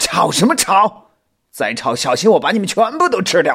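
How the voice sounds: A man's put-on character voice, high in pitch, with vocal fry, a husky, rough edge, a fairly bright tone, big pitch swings and a moderate pace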